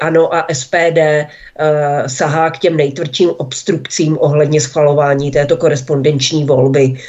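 A woman speaks at a very slow pace in a very deep, low pitch, her intonation monotone and flat. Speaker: publisher and blogger. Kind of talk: political talk radio discussion. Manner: hesitant, frequent fillers.

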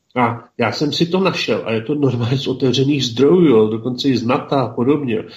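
A man speaks at a fairly quick pace in a normal speaking voice, with ordinary pitch variation. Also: medium pitch for a man. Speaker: regular co-host discussing history and politics. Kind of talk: casual radio discussion.

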